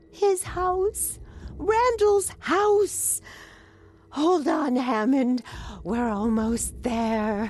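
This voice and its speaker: A woman uses a put-on character voice at a high pitch. She goes at a very slow pace with long, frequent pauses. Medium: video game.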